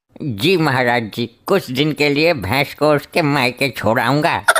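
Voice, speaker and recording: The speaker uses a put-on character voice at a moderate pace. The loudness stays very even throughout. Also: man, fairly high pitch for a man. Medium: comedy sketch. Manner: earnest, pleading.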